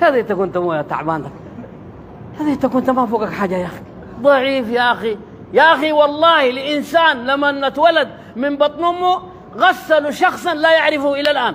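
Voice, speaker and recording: A man with a Sudanese accent talks at an extremely high pitch and a moderate pace with lively intonation over noticeable background noise. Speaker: religious preacher. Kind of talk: religious sermon.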